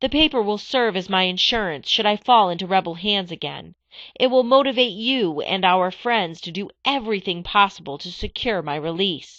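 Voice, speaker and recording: A female-sounding voice puts on a character voice at a middle pitch, talking at a moderate pace. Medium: read story.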